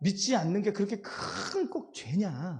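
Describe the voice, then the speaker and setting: The man's voice has a dark, mellow tone. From Jeolla, South Korea. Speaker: pastor. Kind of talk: sermon. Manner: interactive, addresses congregation.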